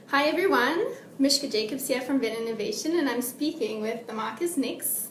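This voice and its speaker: Loud and high-pitched, a woman speaks amid audible room echo and noticeable background noise. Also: ordinary pitch variation, moderate pace. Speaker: interviewer. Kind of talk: interview.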